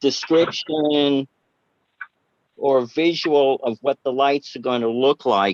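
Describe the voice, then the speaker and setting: Using a Boston accent, a man talks at a very slow pace and fairly high pitch with ordinary pitch variation, in a dry, close sound with no echo. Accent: Bostonian. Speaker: planning commissioner. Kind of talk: public meeting discussion. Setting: video or phone call. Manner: halting.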